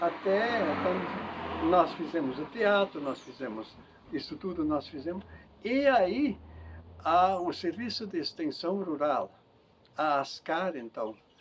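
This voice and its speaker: Amid noticeable background noise, a man with a high pitch speaks very slowly with lively intonation and long, frequent pauses. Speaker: interviewee, farmer and community leader. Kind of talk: life-story interview. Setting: at home.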